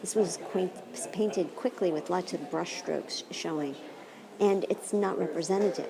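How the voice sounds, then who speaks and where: A woman talks at a moderate pace. The room echo is audible, and background noise is noticeable. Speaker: philosophy professor. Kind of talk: lecture. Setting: art gallery. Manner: soft-spoken; animated.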